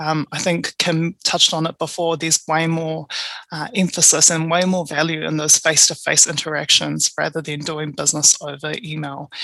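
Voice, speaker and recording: A woman's very deep, low voice in a New Zealand accent, monotone and flat, with a dry, close sound and no echo. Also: moderate pace. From New Zealand, Tongan parents. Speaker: procurement advisor. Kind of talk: interview conversation.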